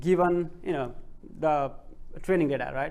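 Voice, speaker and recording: Audible room echo surrounds a man who speaks at a high pitch with a non-native accent. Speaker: PhD researcher presenting. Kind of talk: conference presentation. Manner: slow; halting, many fillers.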